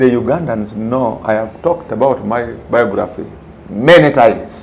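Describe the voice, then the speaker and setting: A man at medium pitch and moderate pace, with ordinary pitch variation, amid audible room echo and noticeable background noise. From Uganda. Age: 60s. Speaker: retired police commander, private security executive. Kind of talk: interview.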